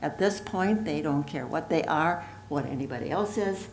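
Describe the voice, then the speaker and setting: A woman with a fairly low pitch and lively intonation talks at a moderate pace amid noticeable background noise and audible room echo. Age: 80s+. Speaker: public commenter. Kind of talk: public comment. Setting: boardroom.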